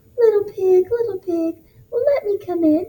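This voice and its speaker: Soft-spoken and pitched extremely high, this put-on character voice moves at a moderate pace. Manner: sweet, soft.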